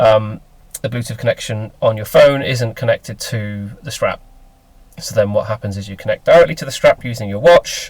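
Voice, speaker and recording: With a Lincolnshire accent, a man speaks at a moderate pace, his loudness swinging widely. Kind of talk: casual talk to camera. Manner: hesitant, many fillers.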